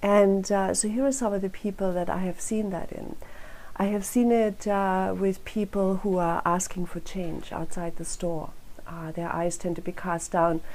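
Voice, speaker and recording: A woman speaks with a German accent at medium pitch. Her pace is moderate and her intonation fairly even. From Germany. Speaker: crime prevention council director. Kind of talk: speech at a rally. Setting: rally.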